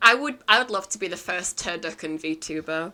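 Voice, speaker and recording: Music plays in the background. A woman speaks with ordinary pitch variation. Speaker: VTuber streamer. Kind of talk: casual livestream chat. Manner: slow and drawn-out.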